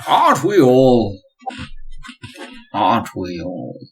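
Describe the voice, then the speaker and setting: In a put-on character voice, a man speaks at a very slow pace with a medium pitch. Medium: actual play. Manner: cultured, measured and polite.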